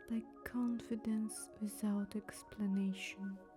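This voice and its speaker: Music in the background behind a woman's calm tone at a very slow pace. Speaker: illustrator and ASMR storyteller. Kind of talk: ASMR storytelling narration. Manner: soft, whispered, slow, calm.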